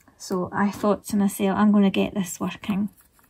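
The speaker is a woman talking at a moderate pace. Noticeable background noise runs behind her. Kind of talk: tutorial with personal anecdote. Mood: relaxed, reminiscing. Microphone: phone near.

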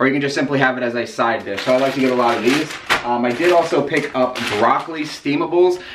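With noticeable background noise behind him, a man talks very fast, his pitch moving in an ordinary way. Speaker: fitness diet vlogger. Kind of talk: casual vlog chat. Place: home room.

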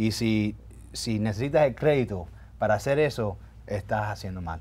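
A man's fairly low voice at a fairly quick pace. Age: 40s. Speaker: lawyer and community activist; lawyer. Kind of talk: interview. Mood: earnest, heartfelt. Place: studio. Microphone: lapel.

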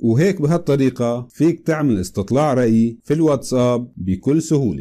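A man with a Syrian accent speaks at a moderate pace and medium pitch in a dark, mellow tone, with lively intonation and very even loudness. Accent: Syrian Levantine Arabic. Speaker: tech tutorial youtuber. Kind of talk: tutorial.

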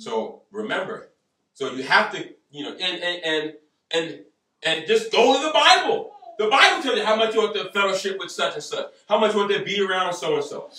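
Talking fairly quickly, a man's voice carries audible room echo. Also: big swings in loudness. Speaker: pastor, preacher. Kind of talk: sermon. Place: home room. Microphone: camera far.

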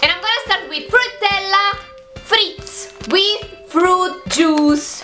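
A woman's raised, projected voice at a very slow pace, with clear music in the background. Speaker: vlogger. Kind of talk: casual vlog chat, food tasting. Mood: cheerful, upbeat. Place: home room. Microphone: phone near.

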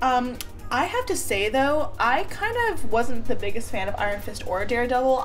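A woman is talking at a moderate pace. Behind her, faint music plays. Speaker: beauty vlogger. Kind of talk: casual vlog chat. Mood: relaxed, chatty, laughing. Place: home room. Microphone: phone near.

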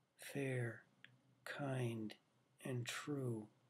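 This man's voice is somewhat breathy, with fairly even intonation. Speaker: poet reading own work. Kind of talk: poem reading, read aloud from his own long poem. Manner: measured, deliberate, formal cadence. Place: home room. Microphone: webcam.

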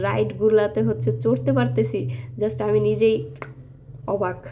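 A woman speaks with lively intonation. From Bangladesh, Faridpur. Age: 20s. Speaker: vlogger. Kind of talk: travel vlog narration. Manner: animated.

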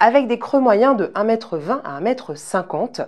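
A woman's intonation rises and falls lively, with hardly any sound behind her. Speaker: weather presenter. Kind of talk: TV weather report, scripted and read out. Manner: formal; even, polished broadcast delivery. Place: studio. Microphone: lapel.

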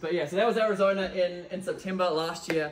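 Light background noise sits behind a man's voice. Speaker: event host. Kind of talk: presentation to audience. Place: meeting room. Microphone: camera far.

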